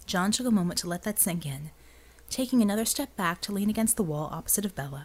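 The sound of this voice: Unforced voice, reading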